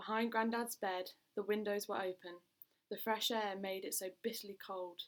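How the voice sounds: A natural reading voice with fairly even intonation, against a quiet background.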